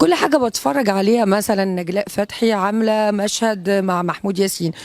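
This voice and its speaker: An Egyptian accent at a moderate pace, with ordinary pitch variation. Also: woman, medium pitch for a woman. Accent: speaks Egyptian Arabic well. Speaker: actress. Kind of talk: interview. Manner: hesitant, many fillers.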